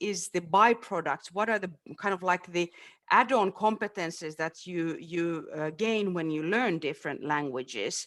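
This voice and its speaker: With a Finnish accent and lively intonation, the speaker goes at a fairly slow pace. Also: woman. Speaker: webinar panelist. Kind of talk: panel discussion. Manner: halting.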